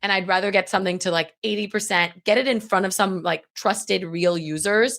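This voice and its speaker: A woman talks fairly quickly at a medium pitch, with ordinary pitch variation. The recording is very clean, with a silent background. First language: Farsi. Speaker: legal tech founder and CEO. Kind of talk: interview. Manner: casual, frequent fillers.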